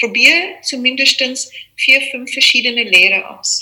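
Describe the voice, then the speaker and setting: A woman uses a raised, projected voice with a high pitch. She moves at a fairly slow pace. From South Africa. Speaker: yoga teacher. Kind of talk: interview. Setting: video call.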